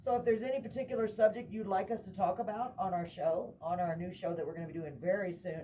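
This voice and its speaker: A woman with an American accent talks at a very fast pace with hardly any pauses, using a medium pitch and ordinary pitch variation. Noticeable background noise can be heard. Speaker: talk show host. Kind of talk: casual chat. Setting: live stream.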